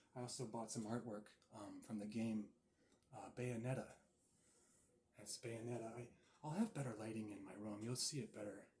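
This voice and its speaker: Amid noticeable background noise, a man talks with fairly even intonation and long, frequent pauses. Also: medium pitch for a man, moderate pace. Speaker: ASMR creator. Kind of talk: ASMR session, soft-spoken talk to camera. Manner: soft-spoken, calming.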